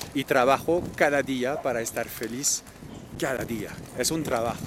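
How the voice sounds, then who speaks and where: Pitched at a medium level, a man talks fairly slowly with ordinary pitch variation. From France, Normandy. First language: French (speaking Spanish). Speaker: traveler and cultural manager. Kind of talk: interview. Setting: outdoors.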